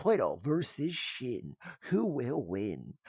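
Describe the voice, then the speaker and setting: At a very slow pace, the speaker performs a put-on character voice. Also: man, medium pitch for a man. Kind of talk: radio announcer voice. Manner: dramatic, hyped-up.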